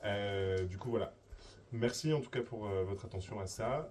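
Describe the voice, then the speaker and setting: Over noticeable background noise, a man talks in a fairly low pitch with ordinary pitch variation. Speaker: event moderator. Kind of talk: announcements. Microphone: too quiet, no mic.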